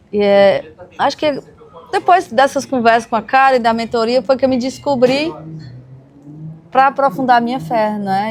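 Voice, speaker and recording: This woman has a high pitch. She keeps a moderate pace. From Brazil, Ceará (Serra da Ibiapaba). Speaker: podcast host. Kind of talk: podcast interview.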